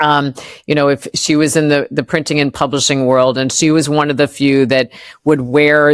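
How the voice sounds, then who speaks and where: In a very clean recording with a silent background, a woman with an American accent talks at a moderate pace in a very deep, low pitch with monotone, flat intonation. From US Midwest. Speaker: entrepreneur and former marketing executive. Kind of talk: interview conversation. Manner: hesitant, many fillers.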